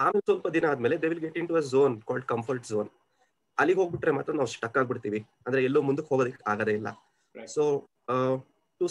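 The speaker has a plain, everyday voice with ordinary pitch variation. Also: man. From Kolar, Karnataka, India. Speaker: senior software engineer. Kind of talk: interview answer. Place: home room. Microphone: video call.

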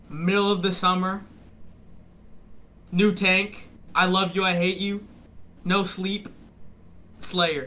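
Speaking at a very slow pace with long, frequent pauses, a man uses a raised, projected voice that is high-pitched, bright and sharp in tone, and flat and monotone in intonation. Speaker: viewer calling in to a streamer. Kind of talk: casual chat. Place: home room.

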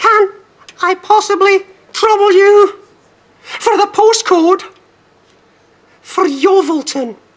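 In a put-on character voice, a man uses falsetto at an extremely high pitch, going at a fairly slow pace with long, frequent pauses. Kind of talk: comic puppet act. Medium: puppet show. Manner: fussy, increasingly exasperated.

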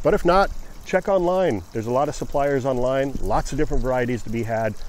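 Very fast delivery with ordinary pitch variation and a dry sound free of echo. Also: man. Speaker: gardening channel host. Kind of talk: casual vlog chat. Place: garden. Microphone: phone near.

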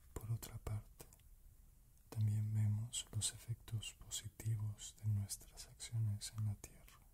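The speaker whispers, soft-spoken and very slow. Noticeable background noise runs underneath. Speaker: narrator of spiritual text. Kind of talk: reading of spiritual book passage. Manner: soft whispered ASMR reading.

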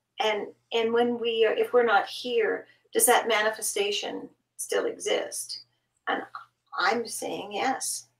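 In a Canadian accent, a woman speaks at a very slow pace with long, frequent pauses, with audible room echo against a quiet background. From Canada. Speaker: guest. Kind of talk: casual chat. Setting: video call. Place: home room.

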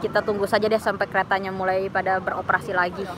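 A woman talks at a fairly quick pace over light background noise, the sound dry with no echo. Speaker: live streamer. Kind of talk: casual vlog chat. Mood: relaxed, playful. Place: cafe. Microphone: phone near.

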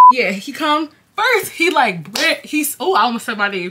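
Over light background noise, the voice moves at a very slow pace with very wide pitch swings. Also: woman. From New York, Jamaican family. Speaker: YouTuber. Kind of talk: casual storytime vlog. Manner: animated. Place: home room. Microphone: phone near.

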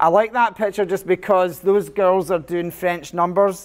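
Here a man talks at a fairly quick pace in a Scottish accent. His intonation stays fairly even. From Scotland. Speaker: computer science teacher. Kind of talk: conference presentation.

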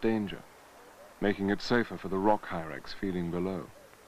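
Pitched fairly low, a man talks in a plain, everyday voice at a moderate pace. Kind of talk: nature documentary narration. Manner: polished, formal, scripted delivery.

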